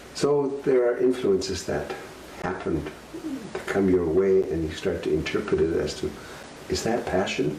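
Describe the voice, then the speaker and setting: The man speaks at a moderate pace with audible room echo and noticeable background noise. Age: 70s. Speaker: elder sharing life story. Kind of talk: storytelling. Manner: halting, many fillers.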